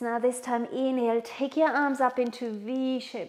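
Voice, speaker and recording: A woman speaks at a fairly slow pace with fairly even intonation. Behind her the background is quiet. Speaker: yoga instructor. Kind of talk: guided yoga instruction. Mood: calm, soothing, encouraging. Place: home room.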